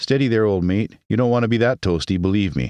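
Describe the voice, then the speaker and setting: In a put-on character voice, a man speaks at a very fast pace with a fairly low pitch and very even loudness. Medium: read story. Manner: friendly, easygoing.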